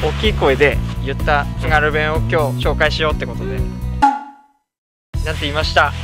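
A man speaks at a fairly quick pace, broken by long, frequent pauses. Clear music plays in the background. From Aomori, Japan. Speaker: channel host. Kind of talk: casual talk to camera. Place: open country.

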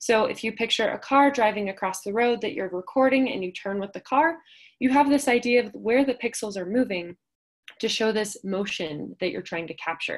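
Over a quiet background, a woman speaks at a moderate pace with lively intonation and big swings in loudness. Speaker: presenter. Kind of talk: lecture. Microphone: video call.

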